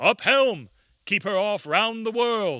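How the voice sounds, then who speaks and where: A put-on character voice, bellowing at a fairly high pitch and a fairly slow pace, on a very clean recording with a silent background. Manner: crying out, commanding.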